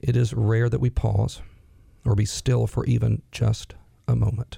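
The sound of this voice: A man with a medium pitch has a raspy voice with vocal fry and a dark, mellow tone. His pitch moves very little.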